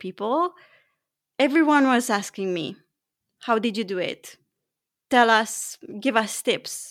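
A woman with a non-native accent talks fairly slowly at a fairly high pitch with ordinary pitch variation, in a very clean recording with a silent background. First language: not English. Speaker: high performance coach and author. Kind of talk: interview conversation.

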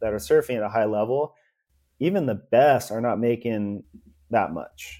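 A man's medium-pitched voice with a dark, mellow tone and ordinary pitch variation, at a fairly slow pace, on a very clean recording with a silent background. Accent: Californian. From California. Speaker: ex-pro surfer turned entrepreneur. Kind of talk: casual interview.

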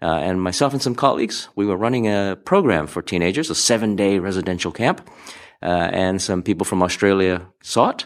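A man with an American accent, very deep and low in pitch, with ordinary pitch variation and a fairly quick pace, on a very clean recording with a silent background. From Hawaii. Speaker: speaker and former magician. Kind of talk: interview. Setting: conference venue.

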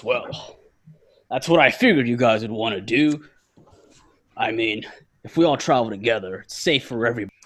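In a raspy, put-on character voice, the speaker talks at a fairly quick pace but leaves long, frequent pauses. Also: man, medium pitch for a man. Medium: actual play. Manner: friendly, chatty.

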